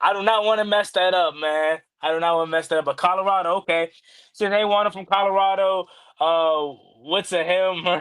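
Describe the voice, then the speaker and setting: A man with an American accent speaks at a fairly quick pace in a high-pitched voice, his intonation fairly even. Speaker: sports YouTube host. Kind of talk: livestream sports talk.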